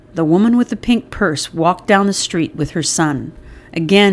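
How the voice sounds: Simply a natural reading voice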